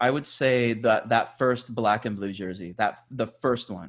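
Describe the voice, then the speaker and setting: Talking at a fairly slow pace, a man uses an ordinary speaking voice with a medium pitch and ordinary pitch variation. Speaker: soccer podcast host. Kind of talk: casual chat.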